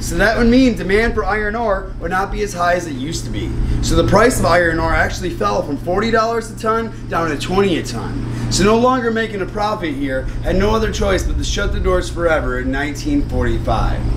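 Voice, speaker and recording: A man talks at a fairly quick pace with hardly any pauses. Noticeable background noise runs underneath. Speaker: mine tour guide. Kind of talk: guided tour talk. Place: street.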